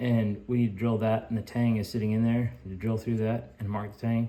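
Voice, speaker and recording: A mumbling man at a medium pitch, with monotone, flat intonation and a fairly quick pace. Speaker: knifemaker. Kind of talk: casual workshop vlog. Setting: workshop. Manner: casual, halting.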